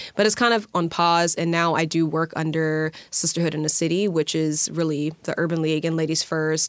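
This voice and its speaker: A woman speaks at a fairly low pitch with monotone, flat intonation and very even loudness. She leaves hardly any pauses, and there is noticeable background noise. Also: moderate pace. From US South, Alabama. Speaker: nonprofit leader. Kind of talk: interview. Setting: studio.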